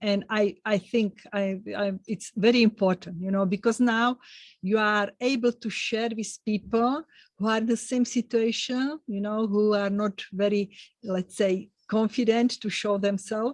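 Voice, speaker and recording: A woman with a non-native accent, fairly high in pitch with fairly even intonation, at a fairly slow pace, in a dry, close sound with no echo over a quiet background. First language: not English. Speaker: podcast host. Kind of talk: interview podcast. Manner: halting.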